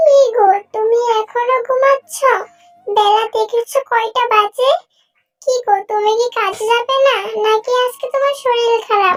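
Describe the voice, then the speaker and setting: A woman puts on a cartoonish character voice, squeaky and at an extremely high pitch. Her intonation stays fairly even. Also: fairly slow pace. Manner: caring, fussing.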